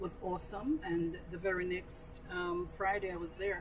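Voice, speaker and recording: A woman with a Jamaican accent talks at a medium pitch and a moderate pace over noticeable background noise. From rural Jamaica. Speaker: guest, cricket club member. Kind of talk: casual interview chat. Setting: studio.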